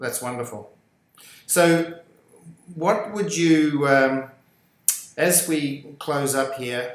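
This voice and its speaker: Speaking with an Australian accent at a very slow pace, a man with a fairly high pitch leaves long, frequent pauses and uses ordinary pitch variation. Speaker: podcast host. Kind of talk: interview.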